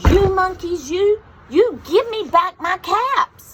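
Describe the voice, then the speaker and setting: A woman's put-on character voice, extremely high in pitch, with lively intonation at a fairly slow pace. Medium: read story.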